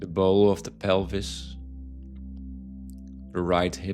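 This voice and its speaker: A soft-spoken man at a very slow pace, with music playing in the background. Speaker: meditation guide. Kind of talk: guided yoga nidra body scan. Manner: soft-spoken, slow.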